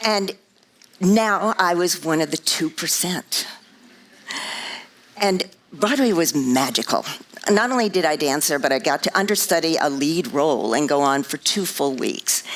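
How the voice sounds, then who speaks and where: A woman with an American accent, long, frequent pauses, and noticeable background noise. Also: fairly low pitch for a woman, lively intonation, fairly slow pace. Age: 70s. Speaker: motivational speaker, former Broadway dancer. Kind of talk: inspirational talk.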